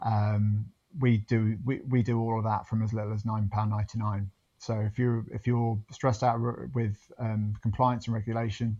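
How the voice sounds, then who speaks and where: A man with a British accent speaks at a moderate pace in a medium pitch, his intonation monotone and flat against a quiet background. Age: 30s. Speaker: business founder. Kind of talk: podcast interview. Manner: halting, many fillers and repeats.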